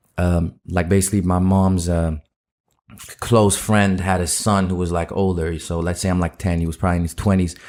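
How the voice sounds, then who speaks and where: A man's very deep, low, monotone voice at a fairly quick pace, in a very clean recording with a silent background. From Netherlands. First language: Dutch. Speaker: rapper. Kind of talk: casual interview chat.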